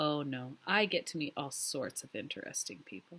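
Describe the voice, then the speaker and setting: In a put-on character voice, a woman speaks soft and raspy at a very deep, low pitch and a moderate pace. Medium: read story. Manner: soft, gentle, somewhat gloomy.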